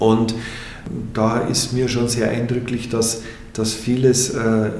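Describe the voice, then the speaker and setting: At a very slow pace and medium pitch, a man talks amid noticeable background noise and audible room echo. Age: 50s. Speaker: bereavement counselor, former priest. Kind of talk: interview. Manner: halting.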